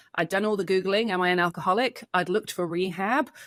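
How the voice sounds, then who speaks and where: A woman speaks at medium pitch with an English accent. The recording is very clean, with a silent background and a dry, close sound with no echo. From England. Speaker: addiction clinic co-founder. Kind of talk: interview. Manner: hesitant, many fillers.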